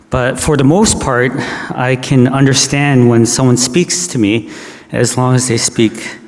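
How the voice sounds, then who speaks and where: Against noticeable background noise, a man of medium pitch speaks at a fairly slow pace with ordinary pitch variation. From Canada. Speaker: pastor. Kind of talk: sermon. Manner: halting.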